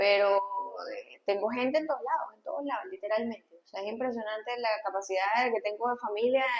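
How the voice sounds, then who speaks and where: A woman's fairly high-pitched voice with ordinary pitch variation and hardly any pauses. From Venezuela, Valencia. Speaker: pediatrician. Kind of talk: interview conversation.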